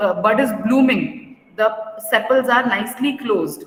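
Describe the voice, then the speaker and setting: Noticeable noise sits in the background. The room echo is audible. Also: woman. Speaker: school teacher. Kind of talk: lecture. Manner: slow.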